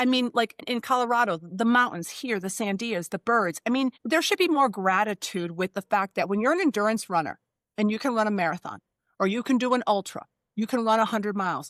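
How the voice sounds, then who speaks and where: A woman with an American accent speaks in an animated tone at a fairly high pitch with lively intonation, on a very clean recording with a silent background and a dry, close sound with no echo. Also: fairly quick pace. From Oklahoma. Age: 60s. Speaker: military nurse and endurance athlete. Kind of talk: casual chat.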